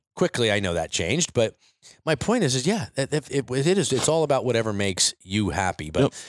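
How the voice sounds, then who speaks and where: A man speaks at a medium pitch and a fairly quick pace, with vocal fry, very wide pitch swings and very even loudness. The recording is very clean with a silent background, and the sound is dry and close with no echo. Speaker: podcast co-owner and interviewer. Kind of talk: casual interview chat. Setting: studio office, in person.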